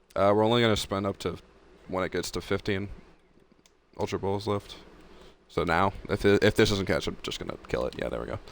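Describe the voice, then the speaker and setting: A man's fairly low, fry-textured voice at a fairly quick pace, with ordinary pitch variation and long, frequent pauses. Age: young. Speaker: video game streamer. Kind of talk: live gaming stream chat. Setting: live stream. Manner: casual, halting with repetitions.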